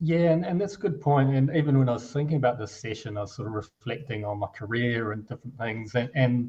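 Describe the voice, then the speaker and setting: A man speaks with a New Zealand accent. His voice is somewhat breathy. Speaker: finance executive, company co-founder. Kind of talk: interview conversation. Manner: hesitant, many repetitions and fillers.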